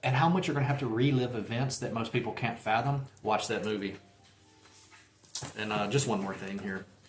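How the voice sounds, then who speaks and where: Talking at a fairly quick pace with a Southern accent, a man of medium pitch leaves long, frequent pauses and shows ordinary pitch variation. Audible room echo and noticeable background noise fill the recording. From Mississippi. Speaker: book collector and booktuber. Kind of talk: casual book haul video. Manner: animated.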